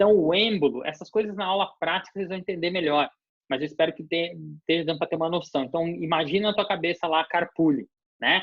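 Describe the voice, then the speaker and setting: Very fast and at a high pitch, this man speaks with fairly even intonation. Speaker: university dentistry professor. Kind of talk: lecture. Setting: online video class.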